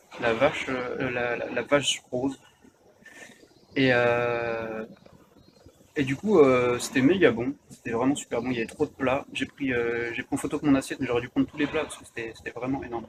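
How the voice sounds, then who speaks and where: A man's medium-pitched voice at a moderate pace, with fairly even intonation, big swings in loudness, long and frequent pauses, and noticeable background noise. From France. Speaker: vlogger. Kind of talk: casual chat. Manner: halting, many fillers.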